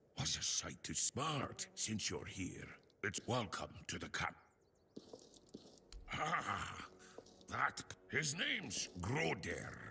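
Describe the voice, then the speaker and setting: A man's raspy put-on character voice at medium pitch, very slow, with long, frequent pauses. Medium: video game. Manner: chatty.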